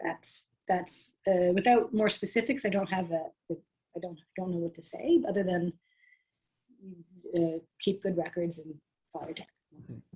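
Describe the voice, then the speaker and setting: A somewhat breathy woman's voice. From Canada. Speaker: tax workshop presenter. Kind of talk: Q&A answering questions in workshop.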